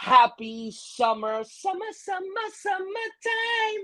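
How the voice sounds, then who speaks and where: A man talks in an upbeat, energetic tone. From Miami. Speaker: podcast host. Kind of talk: podcast host talk.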